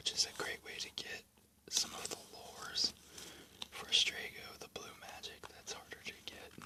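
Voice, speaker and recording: Whispering at a moderate pace over noticeable background noise. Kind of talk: whispered ASMR book flip-through narration; casual talk to camera. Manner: whispered, soft-spoken.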